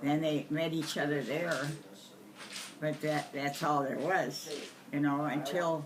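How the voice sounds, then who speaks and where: A woman's very deep, low-pitched voice with an American accent, very slow with long, frequent pauses, monotone, flat intonation, very even loudness, audible room echo, and noticeable background noise. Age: 80s+. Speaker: family elder interviewed about family history. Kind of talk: casual family interview. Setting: deer camp.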